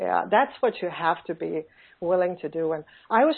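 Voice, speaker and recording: A woman speaks at a medium pitch with a Finnish accent. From Finland. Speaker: online business coach. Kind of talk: interview. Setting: phone call. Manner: halting.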